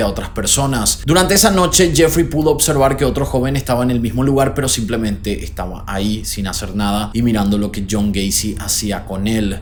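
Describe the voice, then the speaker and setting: Noticeable background noise sits under a man speaking at a moderate pace. His pitch is medium, with ordinary pitch variation. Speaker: YouTube host. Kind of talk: true crime narration to camera. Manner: casual, conversational.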